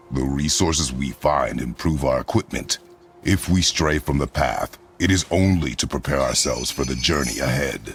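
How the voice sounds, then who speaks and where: A man's put-on character voice, very deep and low, with a stern tone at a moderate pace over clear music in the background. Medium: video game. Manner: terse, clipped, stern.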